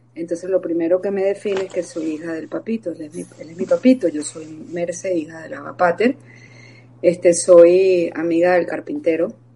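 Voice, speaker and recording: Noticeable background noise runs under a woman speaking at a moderate pace. Her pitch is fairly low with ordinary variation, and her loudness swings widely. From Venezuela. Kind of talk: interview, personal testimony.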